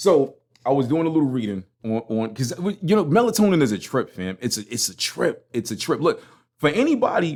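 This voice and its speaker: In a Brooklyn accent, a man talks at a fairly quick pace with a fairly high pitch. His tone is animated, with very wide pitch swings. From Brooklyn, New York. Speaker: podcast host. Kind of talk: casual monologue. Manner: animated, slangy.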